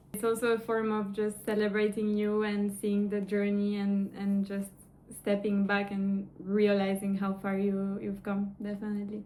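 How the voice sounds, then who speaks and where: With a non-native accent, a woman speaks at a medium pitch in a monotone, flat intonation. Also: moderate pace. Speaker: online course coach. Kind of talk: interview.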